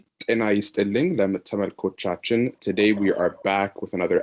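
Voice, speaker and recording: Here is an unremarkable speaking voice from a man, pitched fairly low with fairly even intonation. The sound is dry and close, with no echo. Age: young. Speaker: podcast host. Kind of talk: interview.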